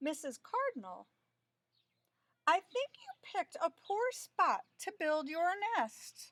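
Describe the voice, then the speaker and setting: Using a put-on character voice, a woman speaks at an extremely high pitch and fairly slow pace, with very wide pitch swings and long, frequent pauses. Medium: read story. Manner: mild, polite.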